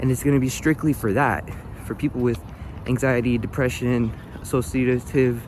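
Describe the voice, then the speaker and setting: Against noticeable background noise, a man talks at a fairly quick pace with a medium pitch and ordinary pitch variation. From North Philadelphia, US. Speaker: motivational vlogger. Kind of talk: casual vlog monologue. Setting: outdoors, walking to bus stop.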